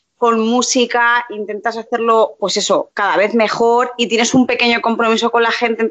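A woman with an unremarkable speaking voice, fairly high in pitch, talks at a moderate pace. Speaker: preschool teacher and YouTuber. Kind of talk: casual interview chat.

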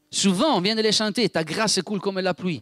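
This man's voice sits high for a male, and he keeps to a moderate pace. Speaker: preacher. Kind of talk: sermon. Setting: church.

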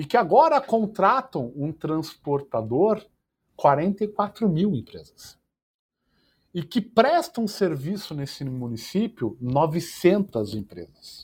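A man speaks at a very slow pace with a high pitch. His pitch swings very widely, and his loudness swings a lot too. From Curitiba, southern Brazil (born in Portugal, moved as child). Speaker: startup founder. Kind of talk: interview.

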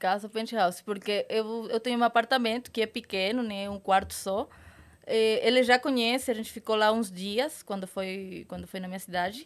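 With a very clean recording and a silent background, a woman uses a plain, everyday voice at a fairly high pitch with fairly even intonation. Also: moderate pace. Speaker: adult content creator and actress. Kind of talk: casual chat.

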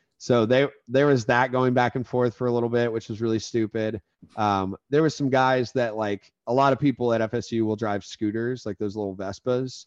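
With an American accent, a normal speaking voice moves at a moderate pace with hardly any pauses and fairly even intonation, in a dry, close sound with no echo. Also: man, medium pitch for a man. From Florida. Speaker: podcast host, former fraternity member. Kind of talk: casual chat.

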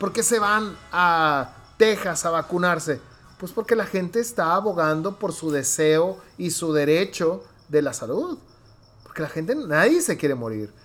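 Over music in the background, the speaker goes at a fairly slow pace with lively intonation. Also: man, high pitch for a man. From Mexico, Hermosillo, Sonora. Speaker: podcast host. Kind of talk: casual chat.

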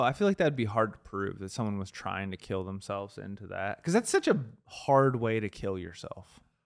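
A man talks at a fairly quick pace with hardly any pauses. His pitch swings very widely, and his loudness swings a lot too. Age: 30s. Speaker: podcast co-host. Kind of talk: casual chat.

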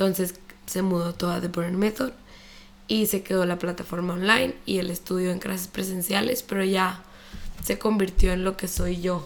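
Using an unremarkable speaking voice, the woman keeps her intonation fairly even and her pace moderate. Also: medium pitch for a woman. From Chihuahua, northern Mexico. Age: 20s. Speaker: fitness instructor and entrepreneur. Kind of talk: casual interview chat.

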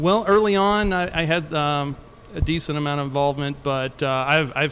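Noticeable background noise sits behind a man with a fairly high pitch. He talks at a moderate pace with ordinary pitch variation. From Louisville, Kentucky. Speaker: brewery owner. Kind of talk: casual interview.

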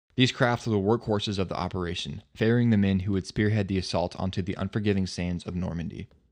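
Over a quiet background, a man with a fairly low pitch and a dramatic, solemn tone speaks at a very fast pace with hardly any pauses. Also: fairly even intonation. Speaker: history podcast narrator. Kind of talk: history documentary narration, scripted and read aloud. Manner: formal, dramatic, measured storytelling pace; solemn and earnest, like a documentary voiceover.

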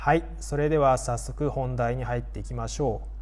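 A man's medium-speed speech rings with audible room echo. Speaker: newspaper correspondent and podcast host. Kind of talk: solo news explainer podcast.

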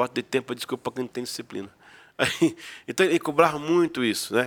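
Ordinary pitch variation runs through a man's very fast speech. The recording sounds dry and close, free of echo. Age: 50s. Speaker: pastor. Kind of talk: casual chat.

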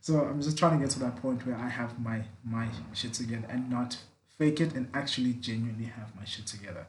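Over audible room echo, a man at a medium pitch talks at a very fast pace, somewhat breathy and with fairly even intonation. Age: 20s. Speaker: podcast host. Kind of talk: casual chat.

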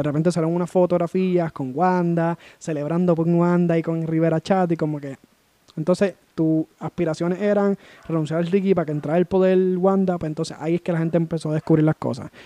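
With a dark, mellow tone and a high pitch, a man speaks in a monotone, flat intonation at a fairly quick pace, the sound dry and close with no echo. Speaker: podcast host. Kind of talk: casual chat.

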